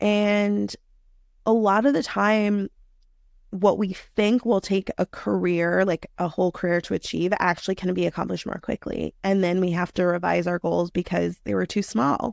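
A woman with an American accent speaks in an unremarkable speaking voice at a medium pitch and moderate pace, with fairly even intonation. The sound is dry and close with no echo, on a very clean recording with a silent background. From New York City. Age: 30s. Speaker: career coach. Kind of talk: interview.

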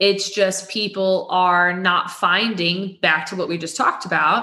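In an American accent, a woman talks with a bright, sharp tone amid audible room echo. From Texas, near Waco. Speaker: staffing firm regional director. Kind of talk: interview.

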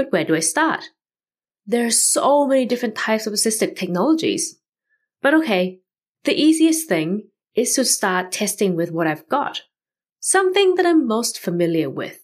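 At a moderate pace, a woman with a fairly high pitch speaks with very wide pitch swings and long, frequent pauses. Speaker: podcast host. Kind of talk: scripted solo podcast narration.

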